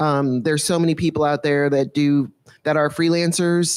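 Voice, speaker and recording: A woman speaks at a moderate pace in a very deep, low voice with fairly even intonation, recorded very cleanly against a silent background. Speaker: panel moderator, former freelancer. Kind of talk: panel moderation. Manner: loud.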